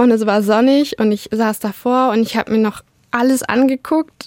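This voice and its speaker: A woman talks at a moderate pace in a fairly high pitch with fairly even intonation, an unremarkable speaking voice. The sound is dry and close, with no echo. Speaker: law student. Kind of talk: personal testimony.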